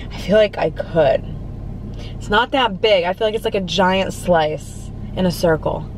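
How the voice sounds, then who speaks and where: A woman's voice at a fairly slow pace with ordinary pitch variation, dry with no echo, over light background noise. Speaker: food vlogger. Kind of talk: casual vlog chat. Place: car.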